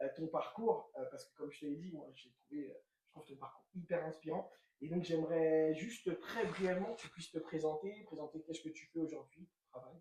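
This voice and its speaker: A man with a high pitch talks at a fairly quick pace, his loudness swinging a lot. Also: ordinary pitch variation. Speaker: interviewer for a local association. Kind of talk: casual interview.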